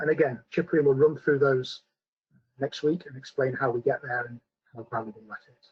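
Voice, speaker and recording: Loudness swings widely as a man with a British accent talks. His pitch is fairly high, with ordinary variation, and his voice is somewhat breathy. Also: moderate pace. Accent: British accent, noticeable. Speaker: scientist presenting a company webinar. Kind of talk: webinar presentation with Q&A. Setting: online webinar. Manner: hesitant, many fillers.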